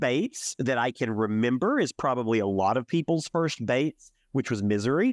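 Against a quiet background, a man with an American accent speaks in a plain, everyday voice at a medium pitch and moderate pace, in a dry, close sound with no echo. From US South, Alabama. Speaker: podcast host. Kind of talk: casual chat.

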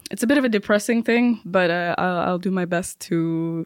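A woman's medium-pitched voice in a Persian accent, with ordinary pitch variation at a moderate pace, in a very clean recording with a silent background. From Iran, Tehran. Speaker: stand-up comedian. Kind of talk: interview.

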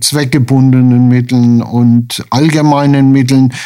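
Monotone, flat intonation from a medium-pitched man at a fairly slow pace, with noticeable background noise. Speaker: retired hospital administrator, charity vice chairman. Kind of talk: radio interview.

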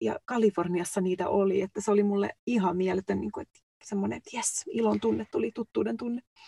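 Talking at a very fast pace, a woman is heard in a dry, close sound with no echo. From Finland. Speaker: podcast co-host, nurse. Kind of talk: casual chat. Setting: recording booth.

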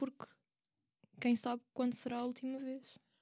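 Speaking in a European Portuguese accent, a woman has a fairly high pitch and a dark, mellow tone. She keeps a moderate pace. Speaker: university student. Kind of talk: casual chat.

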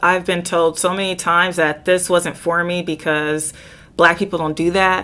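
On a very clean recording with a silent background, a woman with an American accent speaks at a fairly slow pace in a fairly low pitch, her intonation monotone and flat. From Southern California. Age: 30s. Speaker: Highland Games athlete. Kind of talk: casual chat.

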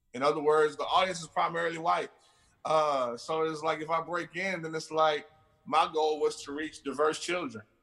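An American accent at a moderate pace, with music in the background. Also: man. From Houston, Texas. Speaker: children's musician. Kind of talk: interview.

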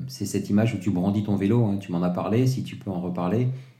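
A man talks at a fairly quick pace in a dark, mellow tone, with audible room echo around him. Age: 40s. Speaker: podcast host. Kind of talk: interview. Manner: animated.

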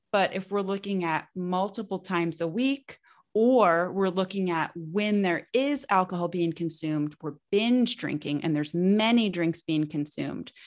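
A woman with a normal speaking voice talks at medium pitch with ordinary pitch variation. She keeps a moderate pace with hardly any pauses over a quiet background. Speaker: nutritionist and women's fertility expert. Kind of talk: casual interview.

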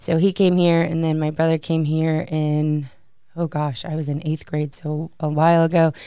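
With an American accent, a woman speaks in a very deep, low, dark, mellow voice, monotone and flat, at a moderate pace. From Chicago suburbs, Illinois. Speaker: university graduate assistant. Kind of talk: casual interview.

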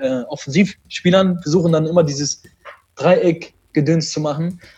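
His intonation is fairly even. The man has a dark, mellow tone. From Germany, Düsseldorf. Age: 20s. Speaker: esports player. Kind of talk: interview. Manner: halting.

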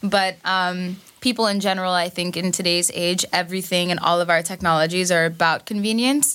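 A woman with a New York accent speaks fairly quickly in a medium pitch, barely pausing, her tone bright and sharp. Her loudness stays very even, her intonation fairly even, and the recording is very clean with a silent background. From Queens, New York. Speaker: cybersecurity technologist. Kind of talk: casual chat.

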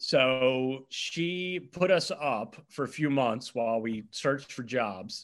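A man with an unremarkable speaking voice and an American accent, fairly high in pitch, with lively intonation against a quiet background. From US, eastern shore of Virginia. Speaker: quiz host and bar owner. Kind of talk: casual chat. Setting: video call.

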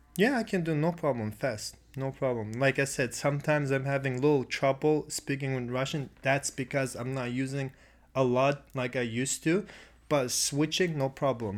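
Heard on a very clean recording with a silent background, a man speaks at a medium pitch and a fairly slow pace. He has an unremarkable speaking voice with ordinary pitch variation. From Russia, Krasnodar region. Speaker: actor. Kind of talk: casual chat.

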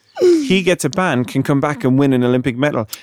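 A man with a British accent, medium-pitched and fairly quick, his intonation lively, the sound dry and close with no echo. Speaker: podcast host. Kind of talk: casual chat. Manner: animated.

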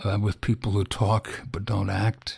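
A man with a fairly low voice and a somewhat breathy quality. His intonation stays flat and monotone. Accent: American. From US Midwest, Illinois. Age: old. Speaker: news editor and publisher. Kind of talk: interview. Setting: recorded at his home. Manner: halting, with many fillers.

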